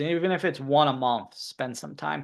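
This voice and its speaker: A man with an American accent and a fairly high pitch speaks with ordinary pitch variation against a quiet background. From New York. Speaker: marketing consultant. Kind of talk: webinar presentation. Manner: fast.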